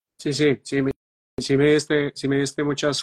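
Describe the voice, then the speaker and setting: This man speaks in a Colombian Paisa accent. His voice is fairly high in pitch. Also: dry, close sound with no echo. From Medellín, Colombia. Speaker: astrologer and show host. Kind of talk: live online talk show.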